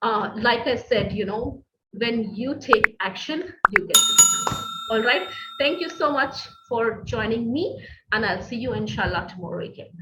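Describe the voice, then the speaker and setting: At a moderate pace, a woman with a fairly high pitch uses lively intonation and big swings in loudness. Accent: non-native. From Middle East. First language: not English. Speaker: business coach. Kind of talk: online masterclass. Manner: hesitant, many fillers.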